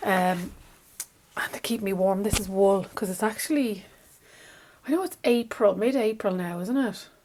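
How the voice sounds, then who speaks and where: A woman's fairly high voice with a Dublin accent and ordinary pitch variation, against noticeable background noise. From Ireland, Dublin. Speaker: craft vlogger and shop owner. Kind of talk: casual vlog chat. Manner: fast; chatty, animated.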